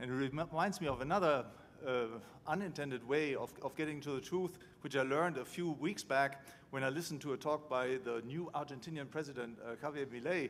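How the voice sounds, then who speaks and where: Fairly quick in pace, a man with a fairly high voice shows ordinary pitch variation. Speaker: economics professor. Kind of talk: conference lecture. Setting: stage with audience. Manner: halting.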